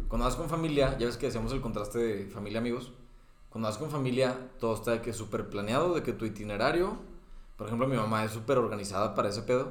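Amid noticeable background noise and audible room echo, a man speaks very fast at a medium pitch. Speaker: podcast co-host. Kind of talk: casual chat.

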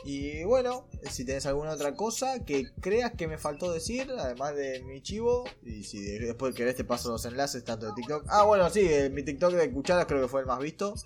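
A man with a Rioplatense accent at a fairly high pitch, moderate pace, hardly any pauses and very wide pitch swings. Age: 20s. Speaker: streamer. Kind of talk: casual chat.

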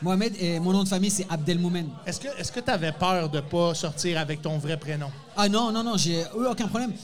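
With noticeable background noise behind him, a high-pitched man speaks fairly quickly, his pitch varying in an ordinary way. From France, Moroccan family. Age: 40s. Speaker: stand-up comedian. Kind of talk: casual chat. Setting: bar stage with live audience.

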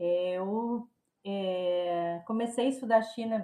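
A woman's fairly high-pitched voice has a dark, mellow tone and ordinary pitch variation. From southern Brazil (Rio Grande do Sul). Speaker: political science professor. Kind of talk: interview. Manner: halting, many repetitions.

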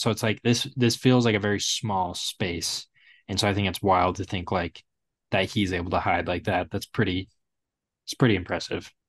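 In an ordinary speaking voice, a man talks at a fairly quick pace with fairly even intonation and a fairly low pitch, the sound dry and close with no echo. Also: quiet background. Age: 20s. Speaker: podcast co-host. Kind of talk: casual chat. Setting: video call.

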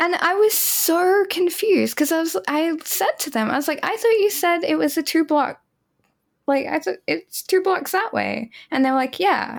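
With an Australian accent, a woman speaks at an extremely high pitch and a moderate pace, her intonation lively. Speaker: podcast co-host and game developer. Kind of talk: casual chat.

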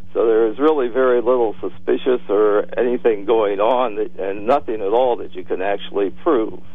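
Over noticeable background noise, a man at medium pitch speaks at a moderate pace with ordinary pitch variation and hardly any pauses. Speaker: caller. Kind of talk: radio call-in argument. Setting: phone call.

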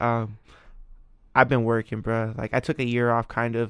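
Over a very clean, silent background, a man with medium pitch talks at a fairly quick pace with an American accent, the sound dry and close with no echo. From California, Ventura. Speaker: musician and photographer. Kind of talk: casual chat.

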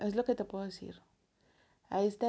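A woman with a Mexican accent. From Mexico. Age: 30s. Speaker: podcast host. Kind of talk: personal audio diary. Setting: alone in her bedroom. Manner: casual, many filler words.

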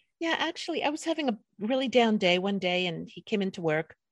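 A woman's plain, everyday voice, medium in pitch, with an American accent, a fairly quick pace and a dry, close sound with no echo. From New York, the Bronx. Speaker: podcast host. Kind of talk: casual interview. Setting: video call.

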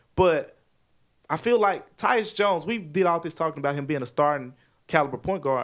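An unremarkable speaking voice from a man with an American accent, fairly high in pitch, with lively intonation and a fairly quick pace. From Memphis, Tennessee (US South). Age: 20s. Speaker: sports journalist. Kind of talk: casual chat. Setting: studio.

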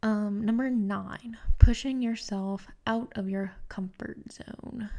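A woman's dark, mellow voice, fairly high in pitch, monotone and flat, at a very slow pace. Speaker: podcast host. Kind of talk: solo self-help podcast talk. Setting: home recording with microphone.

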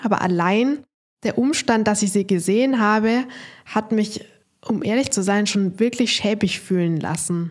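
On a very clean recording with a silent background, a woman speaks in an unremarkable speaking voice at a medium pitch. Her pace is fairly slow, with ordinary pitch variation and very even loudness. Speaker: dating coach, podcast host. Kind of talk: podcast monologue with advice.

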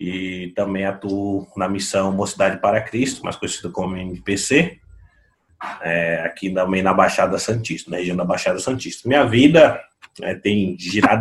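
Speaking at a fairly slow pace, a man has a normal speaking voice, fairly low in pitch with ordinary pitch variation. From Brazil, São Vicente (São Paulo coast). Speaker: pastor and theology author. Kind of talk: podcast interview.

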